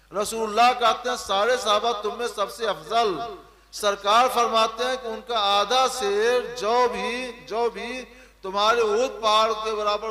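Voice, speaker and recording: A man's high-pitched, raised and projected voice over noticeable background noise. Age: 60s. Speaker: Islamic scholar. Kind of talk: religious Q&A.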